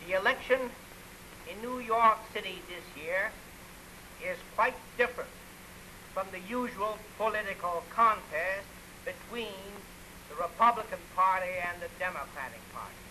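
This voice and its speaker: A man's raised, projected voice, high in pitch at a moderate pace, with ordinary pitch variation, big swings in loudness, long, frequent pauses and light background noise. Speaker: mayoral candidate. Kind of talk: political campaign speech. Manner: forceful, oratorical. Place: studio. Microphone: old recording.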